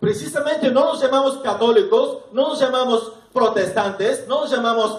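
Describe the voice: In strong room echo, a man speaks at a moderate pace with an extremely high pitch and ordinary pitch variation.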